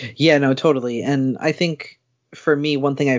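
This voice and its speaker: A man is speaking. His pace is moderate. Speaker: podcast host. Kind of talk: casual chat.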